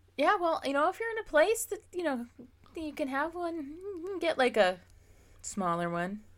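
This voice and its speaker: Extremely high in pitch with very wide swings, a woman with an American accent speaks at a moderate pace with long, frequent pauses. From Pennsylvania. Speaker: podcast host. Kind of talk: casual chat.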